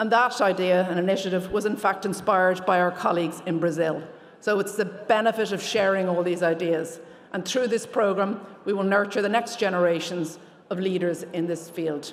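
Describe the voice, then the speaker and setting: With an Irish accent, a woman talks in fairly even intonation amid noticeable background noise and audible room echo. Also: medium pitch for a woman. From Ireland. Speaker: lawyer, award recipient. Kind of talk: award acceptance speech. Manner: fast.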